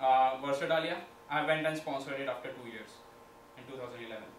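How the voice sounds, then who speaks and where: With audible room echo and light background noise, a man talks at a fairly quick pace. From India, Maharashtra. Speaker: student entrepreneurship club leader; presenter. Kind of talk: presentation. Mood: reflective, personal story. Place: classroom. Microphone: camera far.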